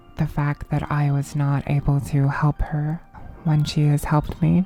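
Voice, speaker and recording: With music in the background, a woman speaks in a monotone, flat intonation at a very deep, low pitch. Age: 20s. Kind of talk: personal ramble to camera. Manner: hesitant, halting.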